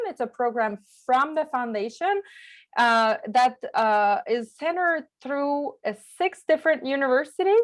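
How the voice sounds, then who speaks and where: Over a silent background on a very clean recording, a woman with a French accent speaks at a fairly slow pace with lively intonation. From Quebec, small village on the St. Lawrence. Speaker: journalist and peace fellow. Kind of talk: presentation to a club. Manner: halting.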